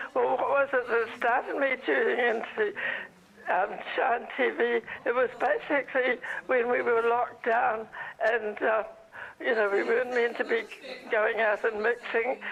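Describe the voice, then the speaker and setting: A woman speaks with long, frequent pauses and very even loudness at a fairly high pitch. Noticeable background noise sits behind her. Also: ordinary pitch variation, moderate pace. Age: 90s. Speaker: viewer and donor. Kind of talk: phone call chat.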